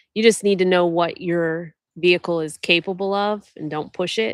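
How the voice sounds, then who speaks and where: A woman with an American accent speaks at a moderate pace, her fairly low voice showing ordinary pitch variation. The recording is very clean with a silent background, and the sound is dry and close with no echo. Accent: Ohio accent, noticed by others. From Ohio, US Midwest. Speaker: overlanding vlogger. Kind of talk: live Q&A stream, casual chat.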